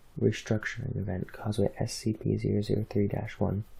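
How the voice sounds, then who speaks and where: A soft-spoken, somewhat breathy man with a dark, mellow tone, fairly low pitch and moderate pace. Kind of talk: reading of fictional documents.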